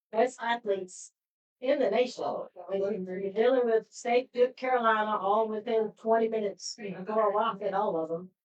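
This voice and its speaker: With a Pittsburgh accent, a woman of fairly high pitch speaks at a moderate pace. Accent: Pittsburgh twang. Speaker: podcast host. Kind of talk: live podcast sign-off.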